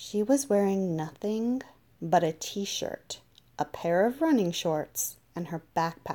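The voice is plain reading aloud. Its intonation is lively.

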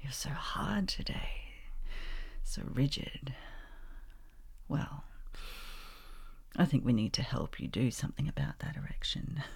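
A woman's slow whispering with vocal fry and long, frequent pauses

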